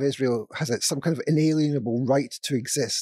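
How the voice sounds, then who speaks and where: A man with a Scottish accent talks at a fairly quick pace in a fairly high, dark and mellow voice with ordinary pitch variation. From Scotland. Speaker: former sociology professor. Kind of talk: panel discussion. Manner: halting.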